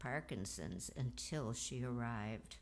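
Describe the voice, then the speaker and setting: A woman speaks with vocal fry. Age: 80s+. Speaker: eulogy speaker, cousin of the deceased. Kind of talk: eulogy at memorial service. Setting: memorial service.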